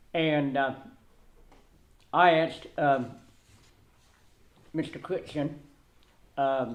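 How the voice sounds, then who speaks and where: A man with a fairly high pitch speaks at a very slow pace with fairly even intonation, long, frequent pauses and audible room echo. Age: 60s. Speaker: resident speaking at public comment. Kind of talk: public comment at council meeting. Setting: town council meeting room. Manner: halting, many fillers and repetitions.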